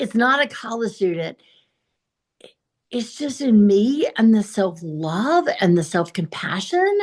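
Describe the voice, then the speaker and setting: A woman's somewhat breathy, fairly high voice in a Southern US accent, very slow with long, frequent pauses and very wide pitch swings. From US South, South Carolina. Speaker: blind motivational speaker. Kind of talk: interview.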